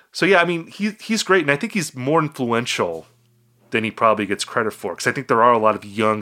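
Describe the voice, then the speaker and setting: A man speaks in a bright, sharp tone. His intonation is lively. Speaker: podcast host and music critic. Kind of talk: casual chat.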